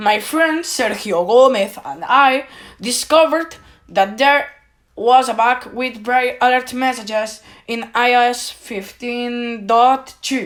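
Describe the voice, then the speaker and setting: A woman speaks at a fairly slow pace with a high-pitched voice. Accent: Spanish. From Spain. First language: Spanish. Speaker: tech YouTuber. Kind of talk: video monologue complaint. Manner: halting.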